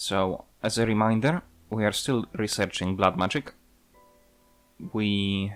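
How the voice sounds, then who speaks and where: With music in the background, a man speaks at a fairly low pitch and a fairly slow pace, with fairly even intonation and long, frequent pauses. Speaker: gaming video creator. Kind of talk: gameplay commentary. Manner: monotone; halting, many fillers.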